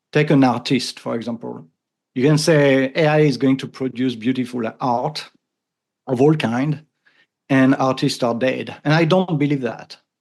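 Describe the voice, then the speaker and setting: Speaking with a strong French accent, a man keeps a medium pitch and a moderate pace. His intonation stays fairly even. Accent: thick French. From France. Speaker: AI consultant and podcaster. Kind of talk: interview conversation. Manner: halting with repetitions.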